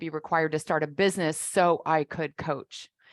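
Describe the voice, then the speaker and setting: A woman talks in a normal speaking voice at a fairly low pitch and a moderate pace. The sound is dry and close with no echo, on a very clean recording with a silent background. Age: 60s. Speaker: business coach. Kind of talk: interview conversation.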